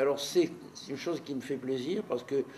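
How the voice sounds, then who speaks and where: A man with a fairly high pitch against noticeable background noise. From Marseille, southern France. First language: Neapolitan (speaking French). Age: 80s+. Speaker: neuropsychiatrist. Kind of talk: life story interview.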